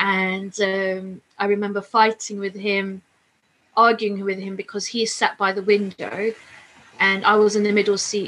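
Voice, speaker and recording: In a London accent, a woman speaks fairly slowly at a medium pitch, her intonation monotone and flat. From London, England. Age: 40s. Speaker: plane crash survivor. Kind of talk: testimony.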